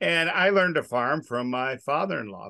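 A man with a bright, sharp tone talks at a moderate pace with ordinary pitch variation. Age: 60s. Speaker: farmer. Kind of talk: casual chat. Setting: studio.

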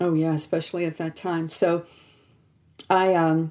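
On a very clean recording with a silent background, a woman with an American accent speaks at a moderate pace and fairly low pitch with monotone, flat intonation. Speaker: theology professor. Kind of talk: interview.

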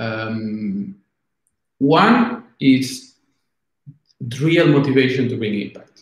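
With a Spanish accent, the speaker talks at a very slow pace, using lively intonation and long, frequent pauses. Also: man, medium pitch for a man. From Argentina. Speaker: product executive. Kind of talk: interview. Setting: video call. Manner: halting.

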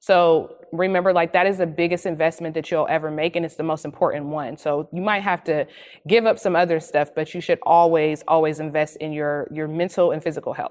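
The woman speaks fairly quickly, with hardly any pauses. She has a fairly low pitch and an ordinary speaking voice. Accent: American. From US inner city. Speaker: writer and mother. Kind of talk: panel discussion. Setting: video call.

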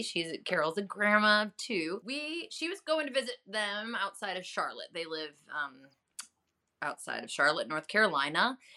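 An animated woman with a medium-pitched, bright, sharp voice, an American accent, very wide pitch swings and a moderate pace, on a very clean recording with a silent background. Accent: Chicago, mellowed, comes out when drinking. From Chicago area, US Midwest. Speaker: journalist and health advocate. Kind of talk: casual interview chat. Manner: animated, laughs often.

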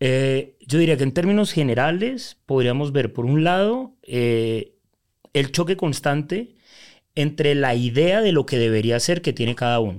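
With an unremarkable speaking voice, a man talks at a fairly slow pace in a fairly high pitch, his intonation lively and his loudness very even, in a very clean recording with a silent background. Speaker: life coach. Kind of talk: interview.

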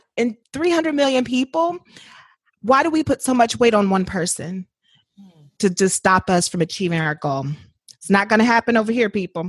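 A woman with an American accent speaks at a moderate pace, somewhat breathy, with very wide pitch swings. She leaves long, frequent pauses, and the sound is dry and close with no echo. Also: fairly high pitch for a woman. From Indiana, US Midwest. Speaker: author and writer. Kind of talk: casual interview.

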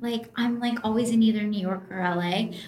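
There is noticeable background noise and audible room echo. A woman speaks at a fairly high pitch. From US, Colorado. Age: 20s. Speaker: food blogger. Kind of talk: casual chat. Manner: casual, many fillers.

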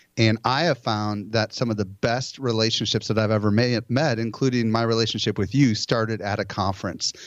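A man with an ordinary speaking voice talks at a fairly quick pace with hardly any pauses, in a medium pitch and with very even loudness. The background is quiet. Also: fairly even intonation. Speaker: conference organizer and marketing expert. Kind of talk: casual interview.

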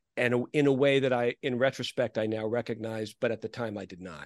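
A man talks in a plain, everyday voice at medium pitch, with ordinary pitch variation. The sound is dry and close with no echo, over a quiet background. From New York (New Rochelle). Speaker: author. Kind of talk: interview.

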